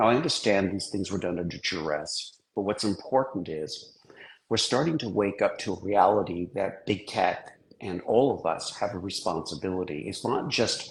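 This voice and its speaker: Here is a man with a fairly low pitch. His voice is somewhat breathy. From England and Switzerland. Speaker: technologist and author. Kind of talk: interview discussion.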